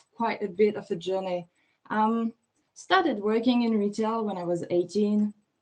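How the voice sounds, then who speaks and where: A woman with a French accent, fairly high in pitch, at a fairly slow pace with fairly even intonation. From France. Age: 30s. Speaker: fashion stylist. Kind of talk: interview.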